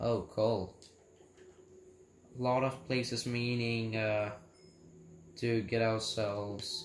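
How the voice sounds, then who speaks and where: There is audible room echo and light background noise as a man speaks at a very slow pace with ordinary pitch variation. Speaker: gamer. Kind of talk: casual gameplay commentary. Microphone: phone near.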